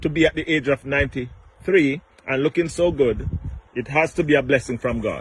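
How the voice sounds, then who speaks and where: With a normal speaking voice, a man talks at a moderate pace, pitched fairly high, his intonation fairly even. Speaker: interviewer. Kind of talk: casual interview questions.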